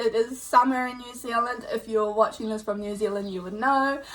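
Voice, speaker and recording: A woman keeps a moderate pace and fairly even intonation while noticeable background noise carries on. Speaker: tarot card reader. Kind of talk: pick-a-card psychic reading. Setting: indoors with windows and doors open. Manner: loud.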